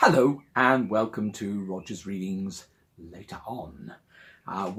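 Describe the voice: Ordinary pitch variation in plain reading aloud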